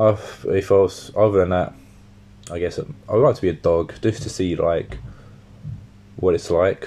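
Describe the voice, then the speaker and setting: With a southern English accent, a man speaks with long, frequent pauses. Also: fairly slow pace. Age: 20s. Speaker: podcast host. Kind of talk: casual solo monologue.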